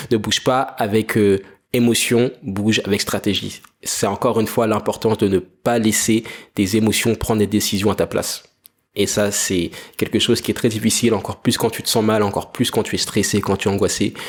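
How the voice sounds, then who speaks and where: A man's fairly low, monotone, flat voice with a French accent at a fairly quick pace, on a very clean recording with a silent background. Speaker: entrepreneur podcaster. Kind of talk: solo monologue podcast.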